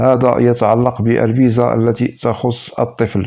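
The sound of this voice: A man speaks at a moderate pace with a medium pitch, vocal fry, and little pitch movement.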